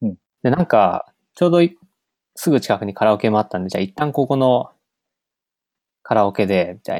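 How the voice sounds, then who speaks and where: Long, frequent pauses break up the lively intonation. The sound is dry and close, with no echo. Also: man, fairly low pitch for a man. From western Gifu, Japan. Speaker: software developer, conference organizer. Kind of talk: casual chat.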